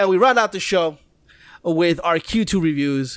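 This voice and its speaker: The recording is very clean, with a silent background. A man with a high pitch speaks at a moderate pace. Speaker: video game podcast co-host. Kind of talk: casual chat. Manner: grunts.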